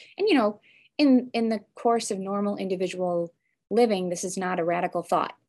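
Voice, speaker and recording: A woman's fairly quick, medium-pitched voice in an American accent, with ordinary pitch variation and a quiet background. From US Midwest, Chicago suburbs. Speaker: law and philosophy professor. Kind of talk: interview. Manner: halting, many fillers and restarts.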